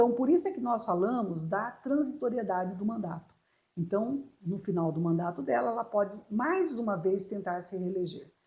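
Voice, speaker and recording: A woman speaks at a moderate pace with lively intonation and a dark, mellow, somewhat breathy tone. Audible room echo surrounds her voice. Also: medium pitch for a woman. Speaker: law lecturer. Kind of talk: lecture.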